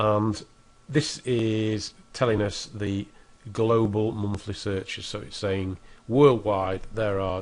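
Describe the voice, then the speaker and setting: A man with a British accent at a very slow pace, fairly low in pitch, his intonation fairly even, with music in the background. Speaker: internet marketing tutor. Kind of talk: screen-recorded tutorial. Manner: casual, with fillers and false starts.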